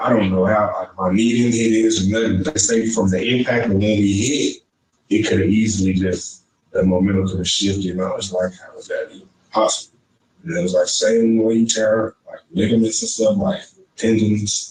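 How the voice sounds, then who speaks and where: A somewhat breathy, medium-pitched man's voice with a Texan accent, ordinary pitch variation, big swings in loudness and a moderate pace. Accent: Texan Southern US. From East Texas (Shelby County) and Houston. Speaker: interviewee. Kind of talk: interview.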